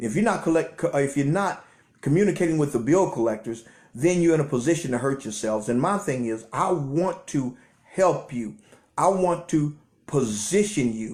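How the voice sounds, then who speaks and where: A man speaks in a fairly high, somewhat breathy voice. His intonation is lively. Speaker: credit repair business owner. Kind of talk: live stream chat. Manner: fast; stammering repetitions.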